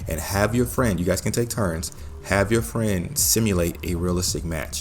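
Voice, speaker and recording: A man talks with an American accent. Music plays in the background. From US Midwest. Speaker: gaming tutorial creator. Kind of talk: tutorial. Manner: casual, uses filler words.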